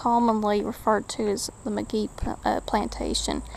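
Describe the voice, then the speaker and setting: There is noticeable background noise. Through it, a woman talks at a fairly slow pace. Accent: East Tennessee. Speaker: urban explorer vlogger. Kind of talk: walking vlog tour. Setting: outdoors.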